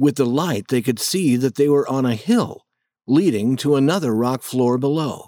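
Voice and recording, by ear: Ordinary pitch variation runs through this reading aloud in a natural voice, set against a quiet background.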